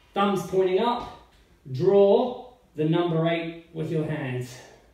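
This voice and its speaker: A man with a high pitch speaks amid audible room echo, with music in the background. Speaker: personal trainer. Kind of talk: tutorial. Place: home room. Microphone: camera far.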